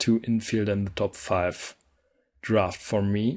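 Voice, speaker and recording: A man with a non-native accent, medium in pitch, at a fairly slow pace over a quiet background. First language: not English. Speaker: gaming video creator. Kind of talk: gameplay commentary. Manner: casual, with frequent fillers and self-corrections.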